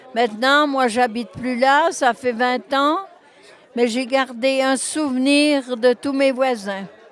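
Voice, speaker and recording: Over crowd noise in the background, a woman with a high voice speaks at a very slow pace with fairly even intonation. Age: 80s+. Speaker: former neighbourhood resident, volunteer. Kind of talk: interview. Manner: halting.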